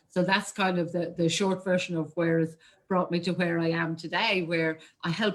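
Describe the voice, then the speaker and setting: A woman with an Irish accent speaks at a fairly low pitch. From Ireland. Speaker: marketing coach. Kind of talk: interview.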